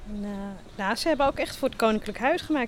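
Fairly high-pitched female speech, its pitch moving in an ordinary way. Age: 50s. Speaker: local history volunteer. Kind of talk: conversation during a walking tour. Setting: outdoors, walking through town. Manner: hesitant, many fillers.

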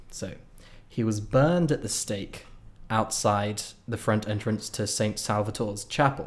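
At a fairly slow pace, a man with a British accent speaks in a fairly low pitch with ordinary pitch variation. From Britain. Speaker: podcast co-host. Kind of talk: casual chat.

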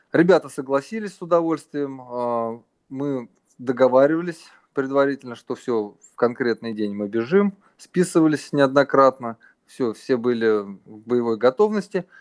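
A plain, everyday voice moves at a fairly slow pace with lively intonation, sounding dry and close with no echo. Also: man, medium pitch for a man. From Russia. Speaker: runner and running coach. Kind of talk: interview.

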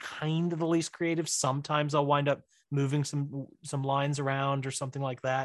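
A man's unremarkable speaking voice, fairly high-pitched and fairly quick, with an American accent, in a dry, close sound with no echo over a quiet background. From Missouri. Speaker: writer and director. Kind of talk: casual chat. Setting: home office in basement.

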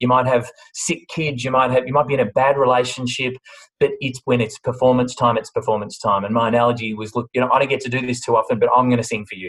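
Talking at a very fast pace, a man with an Australian accent keeps a medium pitch and fairly even intonation. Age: 40s. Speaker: bakery business CEO. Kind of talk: interview. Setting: video call.

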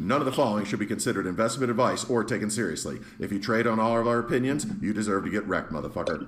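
A man's medium-pitched voice at a very fast pace, hardly any pauses, ordinary pitch variation, and noticeable background noise. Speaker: podcast host. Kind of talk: casual banter, comedic chat. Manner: animated, joking.

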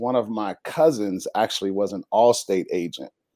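In an American accent, a man speaks at a moderate pace with a medium pitch and a dark, mellow tone. The recording is very clean, with a silent background. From Chicago, US Midwest. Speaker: insurance agent. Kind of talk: interview.

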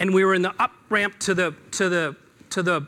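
A man with an American accent uses a raised, projected voice, high in pitch and bright, sharp in tone. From Seattle. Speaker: business speaker. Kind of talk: talk to an audience. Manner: hesitant with fillers.

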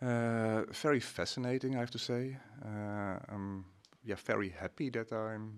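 A man with a Dutch accent speaks at a fairly slow pace with fairly even intonation, on a very clean recording with a silent background. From Netherlands. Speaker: company CEO, biophysicist. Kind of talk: interview. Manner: halting, many fillers.

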